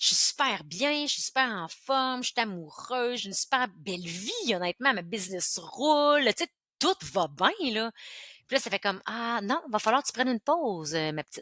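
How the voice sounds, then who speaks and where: In a Quebec accent, a woman speaks with a fairly high, bright, sharp voice and very wide pitch swings, recorded very cleanly against a silent background with a dry, close sound and no echo. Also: moderate pace. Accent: Québécois French. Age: 40s. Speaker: entrepreneur. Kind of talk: interview. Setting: podcast. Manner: animated.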